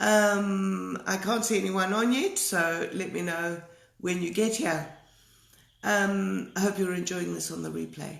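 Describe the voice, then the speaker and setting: Fairly slow speech from a woman amid audible room echo. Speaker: art teacher. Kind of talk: live stream talk. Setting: live video stream. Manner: hesitant, many fillers.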